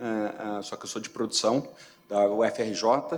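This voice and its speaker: Man with a Rio de Janeiro accent, medium pitch and ordinary pitch variation. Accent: Carioca. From Rio de Janeiro, Brazil. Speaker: company CFO, award finalist. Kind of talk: award presentation speech. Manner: halting, many filler repetitions.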